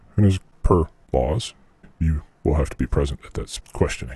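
A man speaks at a moderate pace, his pitch very deep and low. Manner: stiff, halting formal.

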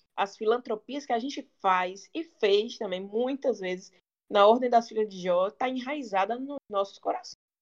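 A woman with a normal speaking voice talks at a moderate pace, her pitch fairly high with ordinary variation and big swings in loudness. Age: 20s. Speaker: lawyer. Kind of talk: podcast interview.

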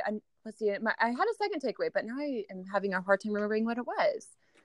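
A woman with a West Coast accent, a fairly high pitch and ordinary pitch variation. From Oregon, US Pacific Northwest (Salem). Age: 20s. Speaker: nurse and business owner. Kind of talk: interview. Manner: casual, laughing often.

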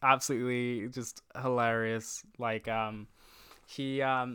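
A man at medium pitch speaks at a very slow pace with a bright, sharp tone. The recording is very clean, with a silent background. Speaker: guest, film podcaster and producer. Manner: mumbles, casual.

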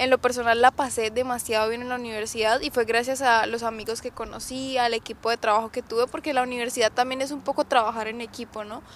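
In a very clean recording with a silent background, a woman talks at high pitch and a fairly quick pace. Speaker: podcast host. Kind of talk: casual chat. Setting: outdoors.

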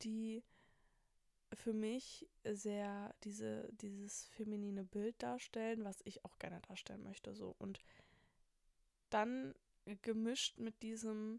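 Her intonation stays fairly even as this woman talks in a fairly high pitch. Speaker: podcast host, university student. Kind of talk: casual solo monologue. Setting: at home in bed at night, window open to street. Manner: rambling with many fillers.

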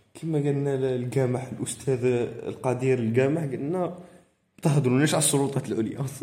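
With audible room echo, a man speaks at a moderate pace and medium pitch, his intonation fairly even. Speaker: podcast co-host. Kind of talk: casual chat.

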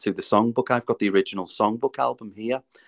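A man with a Liverpool accent at a very fast pace, with ordinary pitch variation. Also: dry, close sound with no echo. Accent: Scouse. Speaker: musical theatre performer. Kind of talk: interview.

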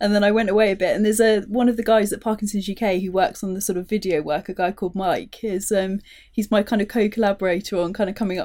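A woman with a British accent speaks at a very fast pace with hardly any pauses, her medium pitch held in fairly even intonation. Her tone is dark and mellow, on a very clean recording with a silent background. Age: 30s. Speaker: charity tech strategist living with Parkinson's. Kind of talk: casual chat. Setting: studio.

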